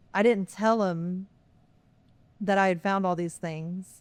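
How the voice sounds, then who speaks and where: Woman with a Texas accent, medium pitch, fairly even intonation and a fairly slow pace, in a very clean recording with a silent background. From Texas, Lockhart. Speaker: pastor. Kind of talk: interview. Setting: podcast recording.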